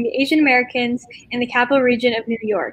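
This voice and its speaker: A woman's high-pitched voice at a very fast pace, dry with no echo. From Capital Region, New York. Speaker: student and interview host. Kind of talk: interview host. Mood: friendly, smiling. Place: home room. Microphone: video call.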